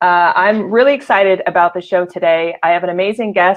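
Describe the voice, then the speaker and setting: A woman talks at a moderate pace with a medium pitch. It is an ordinary speaking voice. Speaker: livestream show host. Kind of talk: casual live show talk.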